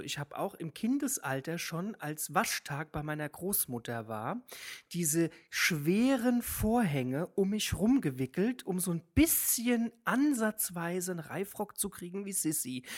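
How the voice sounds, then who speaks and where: On a very clean recording with a silent background, a woman with a fairly low pitch speaks at a fairly slow pace with very wide pitch swings. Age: 20s. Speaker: drag queen. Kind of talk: casual chat.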